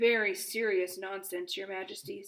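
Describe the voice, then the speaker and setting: A woman puts on a character voice at a medium pitch, speaking at a moderate pace with a monotone, flat intonation. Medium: read story. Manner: formal, measured.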